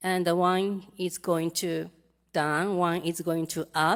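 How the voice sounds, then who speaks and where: Her pitch medium, a woman speaks at a very slow pace. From Japan. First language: Japanese. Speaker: interpreter for audience member. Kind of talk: live interpreting. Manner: halting.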